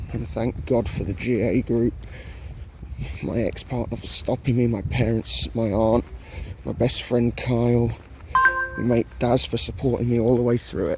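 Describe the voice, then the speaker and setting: With an English accent, a man talks at a moderate pace and medium pitch, showing ordinary pitch variation. Long, frequent pauses break his speech, and noticeable background noise is present. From England. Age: 30s. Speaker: travel vlogger. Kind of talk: casual vlog narration. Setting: outdoors in a park. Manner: muffled by face mask.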